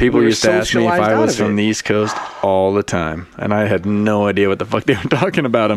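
A resonant man's voice, fairly low in pitch, with ordinary pitch variation, very even loudness and a fairly quick pace, over noticeable background noise. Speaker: podcast co-host. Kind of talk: casual, profane banter.

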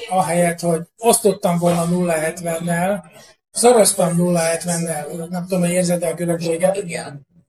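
A man's high-pitched, very slow, monotone, flat delivery, with music in the background. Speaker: cartographer and map publisher. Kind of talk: interview. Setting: on location.

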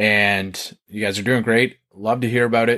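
A man speaks in an ordinary speaking voice with a Canadian accent and a medium pitch. He keeps a moderate pace against a quiet background. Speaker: podcast host. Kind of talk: casual interview chat.

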